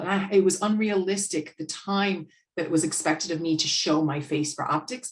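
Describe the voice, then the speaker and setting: Speaking with an American accent, a woman goes at a fairly quick pace. Her voice is somewhat breathy. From United States. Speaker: business owner and sales and marketing consultant. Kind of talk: podcast interview conversation.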